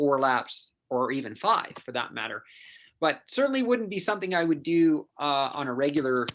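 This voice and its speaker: With a western Canadian accent, a man speaks in lively intonation over a quiet background. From western Canada (Penticton, BC). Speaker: endurance coach and athlete. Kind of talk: casual interview chat.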